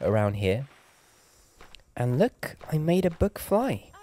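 Noticeable background noise sits under a dry, close sound with no echo. A man speaks fairly slowly with lively intonation. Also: long, frequent pauses, very even loudness. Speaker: gaming ASMR creator. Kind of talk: soft-spoken gameplay commentary. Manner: soft-spoken, relaxed.

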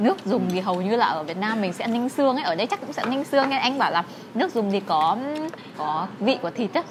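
A woman talks at a very fast pace with a fairly high pitch and very wide pitch swings. Noticeable background noise runs underneath. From Vietnam. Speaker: vlogger. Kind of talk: casual vlog chat. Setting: restaurant. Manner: animated. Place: cafe. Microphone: phone near.

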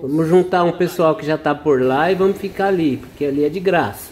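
The speaker is a man with a dark, mellow tone. He talks at a moderate pace over light background noise. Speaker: travel vlogger. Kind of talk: casual vlog chat. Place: beach. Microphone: phone near.

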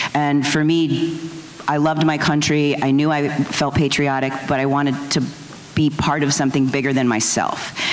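In a room with audible echo, a woman speaks at a moderate pace with monotone, flat intonation. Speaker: veteran. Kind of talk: panel discussion. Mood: earnest, reflective. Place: hall. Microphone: handheld.

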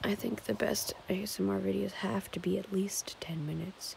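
A soft-spoken woman at a moderate pace, dry with no echo, over noticeable background noise. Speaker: ASMR vlogger. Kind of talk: casual vlog chat. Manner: quiet ASMR-style soft talk. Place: home room. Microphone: phone near.

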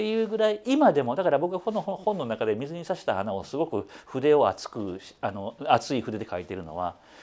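A man talks with hardly any pauses in a dark, mellow tone. His pitch swings very widely, and vocal fry runs through his voice. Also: moderate pace. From Osaka, Kansai; Japan. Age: 50s. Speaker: music critic; interviewee. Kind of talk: interview. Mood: friendly, animated. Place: studio. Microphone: lapel.

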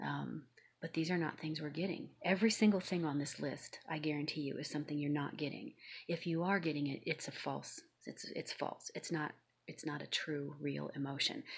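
At a moderate pace, a woman speaks with a very deep, low pitch, vocal fry and fairly even intonation over a quiet background. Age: 50s. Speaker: YouTube vlogger. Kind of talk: personal vlog monologue. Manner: hesitant, many filler ums. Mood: serious, aggrieved. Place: home room. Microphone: phone near.

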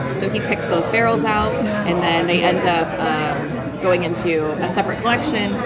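Over music in the background, a woman talks at a moderate pace with hardly any pauses. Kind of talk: tasting explanation to guests. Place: bar. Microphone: camera far.

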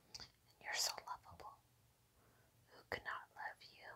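Whispering, a woman gets through her words at a fairly slow pace. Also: long, frequent pauses, big swings in loudness. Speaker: ASMR creator. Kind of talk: soothing affirmations to a pet. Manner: soft-spoken. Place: home room.

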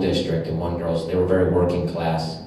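Strong room echo surrounds a man talking at a fairly quick pace in a very deep, low pitch, over light background noise. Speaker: comedian performer. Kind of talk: interview answer. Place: stage. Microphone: camera far.

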